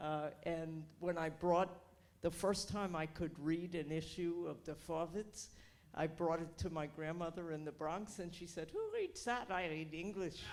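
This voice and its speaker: A woman's fairly low, monotone, flat voice in an American accent, at a fairly slow pace. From New York, Queens. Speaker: audience member, board member. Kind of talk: casual remarks from audience.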